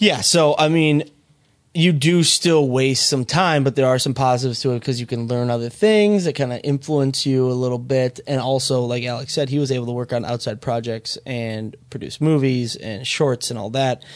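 A man's unremarkable speaking voice with an American accent, medium pitch, ordinary pitch variation and moderate pace. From Minnesota. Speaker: podcast co-host, filmmaker. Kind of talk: casual chat.

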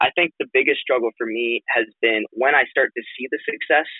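The sound is dry and close with no echo as a man speaks at a fairly quick pace. His voice carries a slightly husky edge and ordinary pitch variation. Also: medium pitch for a man.

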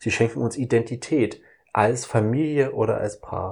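On a very clean recording with a silent background, a man speaks in a somewhat breathy voice with fairly even intonation. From Saxony, eastern Germany. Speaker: podcast host. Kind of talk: casual chat.

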